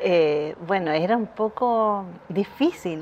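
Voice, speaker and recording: Her voice sits at a medium pitch, and this woman varies it in an ordinary way. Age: 50s. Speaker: visual artist and printmaking teacher. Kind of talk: interview. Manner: halting, with frequent repetitions.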